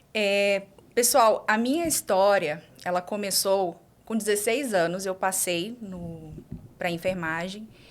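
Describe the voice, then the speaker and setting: A woman speaks at a very slow pace with a Maranhão accent. Her pitch is medium, with ordinary pitch variation. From Brazil, Imperatriz, Maranhão. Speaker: doctor and exam-prep teacher. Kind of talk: podcast interview. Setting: live podcast studio.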